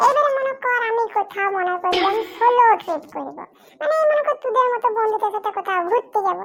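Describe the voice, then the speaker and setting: A woman's put-on character voice sits at an extremely high pitch. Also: moderate pace. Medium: comedy sketch. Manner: animated, talkative.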